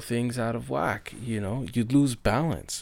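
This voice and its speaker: The recording is very clean with a silent background. Speech moves at a moderate pace with ordinary pitch variation. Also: man. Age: 30s. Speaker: podcast host speaking about living with bipolar. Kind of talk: solo monologue podcast. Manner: hesitant with many fillers.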